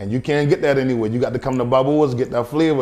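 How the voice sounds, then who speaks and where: Medium in pitch, a man speaks in a Charleston Lowcountry accent at a fairly quick pace with ordinary pitch variation. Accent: Charleston Lowcountry accent, noticeable. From US South, Charleston area, South Carolina. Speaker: chef and restaurant owner. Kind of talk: interview.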